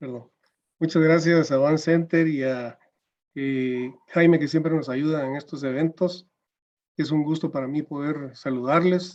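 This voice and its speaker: The man's pitch is fairly high, his intonation fairly even, and his pace fairly slow. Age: 60s. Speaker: judge. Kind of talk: panel presentation. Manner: hesitant with fillers.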